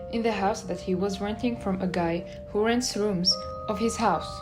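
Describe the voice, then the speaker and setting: Music plays in the background as a woman with a non-native accent speaks at a moderate pace and a medium pitch. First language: not English. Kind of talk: true crime narration.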